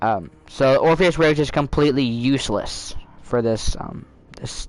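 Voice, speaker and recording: With music in the background, a man speaks at a medium pitch and fairly slow pace. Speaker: video game streamer. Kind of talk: casual gameplay commentary. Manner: soft-spoken; halting, many fillers.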